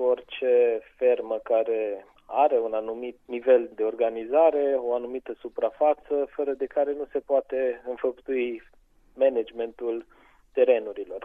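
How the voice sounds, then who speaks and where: With an unremarkable speaking voice, a man talks at a fairly slow pace, medium in pitch, with fairly even intonation. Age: 30s. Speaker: farmer. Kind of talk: interview.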